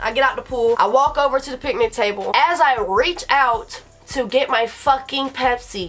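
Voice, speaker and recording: With music in the background, a woman speaks at a moderate pace in a high pitch that swings very widely. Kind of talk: casual storytime talk to camera. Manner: rambling, profane.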